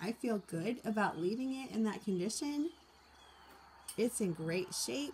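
The voice is somewhat breathy and moves through very wide pitch swings. It goes at a very slow pace over light background noise. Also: woman. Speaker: teacher vlogger. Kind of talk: casual vlog chat. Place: garden. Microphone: phone near.

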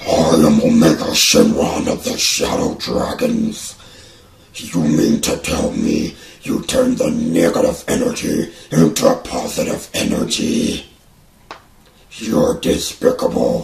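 Doing a raspy put-on character voice at an extremely high pitch, a man speaks at a fairly slow pace with a slight echo. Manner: menacing, arrogant.

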